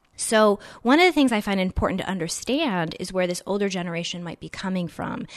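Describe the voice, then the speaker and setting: A woman talks fairly quickly in a plain, everyday voice at a medium pitch, with ordinary pitch variation and big swings in loudness. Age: 30s. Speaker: career coach. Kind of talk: interview. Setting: host's home.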